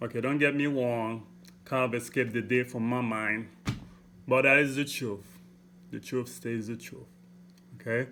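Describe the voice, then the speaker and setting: A man with a strong Haitian accent speaks at a medium pitch in a bright, sharp tone, his flat, monotone delivery broken by long, frequent pauses. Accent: heavy Haitian. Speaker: motivational vlogger. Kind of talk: motivational talk. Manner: deliberate, clear; repeats okay, halting restarts.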